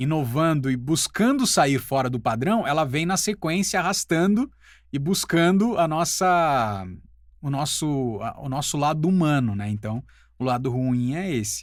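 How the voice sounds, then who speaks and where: A man with a normal speaking voice goes at a fairly slow pace and uses lively intonation. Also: fairly high pitch for a man, very clean recording, silent background. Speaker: voice-over artist and teacher. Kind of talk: casual talk to camera.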